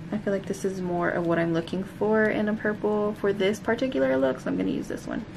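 Talking very fast, a woman varies her pitch in an ordinary way as noticeable background noise carries on. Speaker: beauty YouTuber. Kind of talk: makeup tutorial; personal talk to camera. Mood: warm, upbeat. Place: home room. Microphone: phone near.

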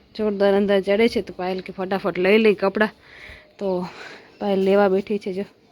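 Noticeable background noise sits behind a woman speaking at a medium pitch in a monotone, flat intonation. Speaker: family vlogger. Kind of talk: casual vlog narration.

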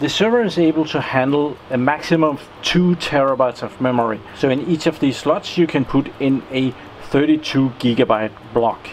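A man with a Danish accent and a fairly high pitch speaks at a moderate pace amid noticeable background noise. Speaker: tech YouTuber. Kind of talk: hardware review walkthrough. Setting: on location in a hardware warehouse. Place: workshop. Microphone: phone near.

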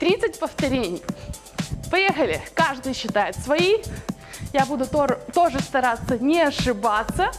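Over clear background music, a woman with a high pitch speaks at a fairly slow pace. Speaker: fitness instructor. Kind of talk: workout instruction. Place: gym.

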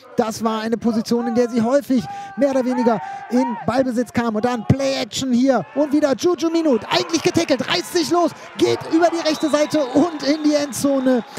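This man's pitch is extremely high, with an animated, enthusiastic tone and ordinary pitch variation. He talks at a fairly quick pace with very even loudness, and noticeable background noise is present. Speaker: sports commentator, club video voiceover. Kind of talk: sports commentary over game highlights, voiceover recap. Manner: animated, brisk, enthusiastic play-by-play delivery; punchy, energetic, with a promotional call to action at the end.

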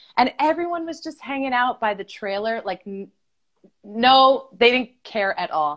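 In an American accent, the speaker shows very wide pitch swings and big swings in loudness. The pace is fairly slow, against a quiet background. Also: woman, high pitch for a woman. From US Northeast (Stamford, Connecticut); US Northeast. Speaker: TV host and professional dancer; TV host. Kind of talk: casual chat. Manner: animated. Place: home room. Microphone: video call.

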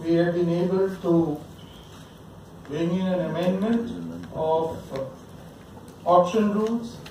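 With light background noise and audible room echo, a man with a high voice speaks at a very slow pace with fairly even intonation. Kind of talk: formal speech. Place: hall.

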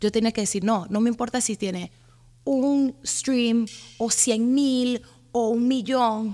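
A woman with ordinary pitch variation. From US, Miami. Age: 20s. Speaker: singer-songwriter; guest. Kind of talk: interview. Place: studio. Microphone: studio mic.

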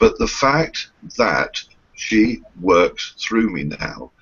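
Here a man talks with a British accent. His pace is very slow. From UK. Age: 50s. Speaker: reverend and spiritual show co-host. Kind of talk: casual chat. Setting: video call. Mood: earnest, spiritual enthusiasm. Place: home room. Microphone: video call.

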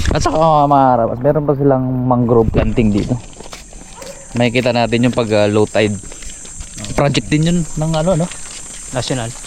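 A man talks at a fairly quick pace with ordinary pitch variation. His speech has long, frequent pauses, and there is noticeable background noise. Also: medium pitch for a man. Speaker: vlogger. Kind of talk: casual vlog chat. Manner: animated.

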